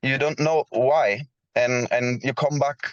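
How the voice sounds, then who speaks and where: A man with a non-native accent and a fairly high pitch is heard in a dry, close sound with no echo. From Switzerland. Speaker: blockchain project founder. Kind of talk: round table discussion. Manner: halting.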